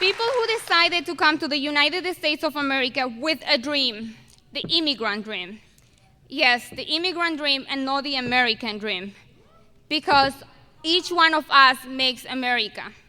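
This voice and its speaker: A woman speaks at a moderate pace in a high, bright, sharp voice, raised and projected. Her intonation is lively. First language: not English. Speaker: valedictorian student speaker. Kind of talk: commencement speech. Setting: stage with audience at graduation ceremony. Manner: halting with self-corrections.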